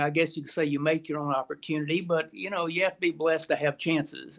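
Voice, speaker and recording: In a Texan accent, a man talks with a fairly high pitch. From Texas, central hill country. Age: 60s. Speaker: retired magazine editor and hunter. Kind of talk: interview.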